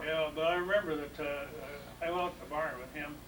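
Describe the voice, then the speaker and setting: A man with a fairly high voice talks amid noticeable background noise. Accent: American. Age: 80s+. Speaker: retired farm-raised county official. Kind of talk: family reminiscence conversation.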